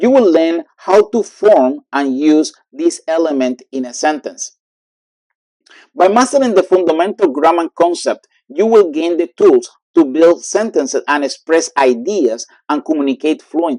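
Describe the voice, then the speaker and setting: In a Cuban accent, the speaker goes at a fairly slow pace with lively intonation and a dark, mellow tone. The sound is dry and close, with no echo. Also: man, high pitch for a man. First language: Spanish. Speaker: language teacher. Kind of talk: lesson tutorial.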